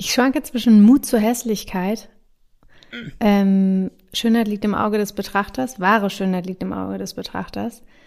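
An unremarkable speaking voice from a woman, medium in pitch, at a moderate pace with fairly even intonation, in a very clean recording with a silent background. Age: 30s. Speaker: podcast host. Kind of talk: casual chat.

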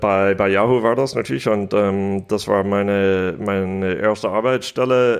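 A man with an American accent speaks at a fairly slow pace and fairly low pitch, with very even loudness and hardly any pauses. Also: fairly even intonation. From United States. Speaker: business angel investor. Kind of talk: interview.

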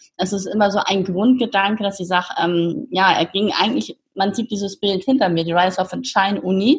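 A woman's somewhat breathy voice at a fairly quick pace with ordinary pitch variation. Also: medium pitch for a woman, hardly any pauses. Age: 50s. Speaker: founder of youth coaching platform. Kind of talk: interview.

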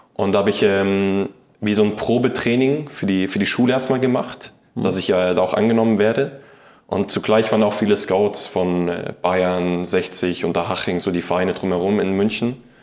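A man's fairly low voice at a moderate pace with ordinary pitch variation and audible room echo. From Saxony, Ore Mountains (Annaberg-Buchholz), later Munich. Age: 20s. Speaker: professional footballer. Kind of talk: interview. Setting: stadium room, in person. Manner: halting, many fillers.

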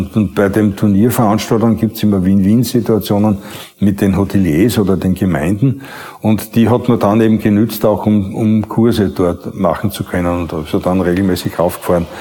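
Over noticeable background noise, a man with a fairly low pitch speaks at a moderate pace, his loudness very even and his intonation fairly even. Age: 70s. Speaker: former dancer. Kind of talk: interview testimony. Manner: halting.

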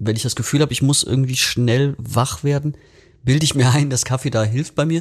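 Fairly quick, somewhat breathy speech from a man at medium pitch. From western Germany, Bergisches Land. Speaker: rock musician. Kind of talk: casual chat.

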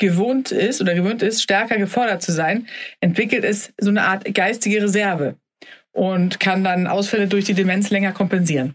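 A woman speaks at a moderate pace in an unremarkable speaking voice, her medium pitch carried on fairly even intonation. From Sweden, then Germany (bilingual). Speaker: podcast host, health journalist. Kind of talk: casual health podcast talk.

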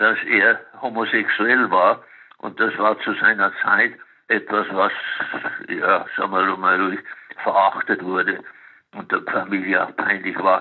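A man talks at a very slow pace. He leaves long, frequent pauses. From Bavaria, Munich. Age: 90s. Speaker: psychiatrist, retired professor. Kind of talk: interview.

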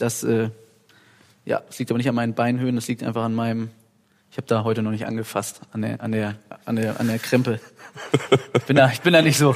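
A man speaks at a very fast pace yet leaves long, frequent pauses. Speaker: rock singer. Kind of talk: casual chat. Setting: recorded while cooking in a kitchen.

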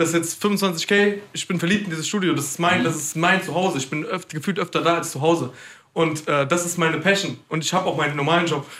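At a very fast pace, a man talks in a high pitch with fairly even intonation. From Mainz, Germany. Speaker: trap rapper. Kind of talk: casual chat.

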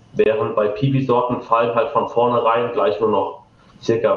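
A man is speaking. Audible room echo and noticeable background noise come through. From Rheinhessen, Germany (Ingelheim). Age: 20s. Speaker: winemaker. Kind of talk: interview.

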